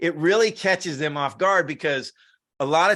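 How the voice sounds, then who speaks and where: Against a quiet background, a man with a bright, sharp tone speaks fairly slowly with lively intonation. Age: 60s. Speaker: sales and partnerships entrepreneur. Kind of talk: interview conversation. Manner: repetitive false starts.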